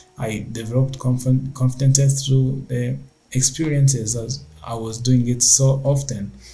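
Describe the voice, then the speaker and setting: A man speaks at a medium pitch and a fairly slow pace, his intonation monotone and flat. Noticeable background noise runs under his voice. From Rwanda. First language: not English. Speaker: tech entrepreneur. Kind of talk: casual talk to camera.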